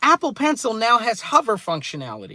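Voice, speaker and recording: A man speaks in a raised, projected voice at a moderate pace, his tone bright and sharp with very wide pitch swings, the sound dry and close with no echo on a very clean recording with a silent background. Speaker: tech YouTuber. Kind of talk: live stream commentary. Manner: loud, ranting.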